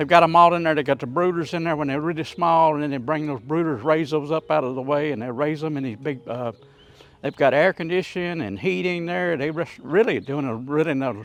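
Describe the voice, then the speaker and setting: Talking at a fairly quick pace in a relaxed tone, a man with a Southern US accent has a fairly high pitch and ordinary pitch variation. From US South, North Louisiana. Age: 70s. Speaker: cooking YouTuber. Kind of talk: casual cooking tutorial. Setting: outdoors, backyard grill. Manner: relaxed, folksy with many fillers.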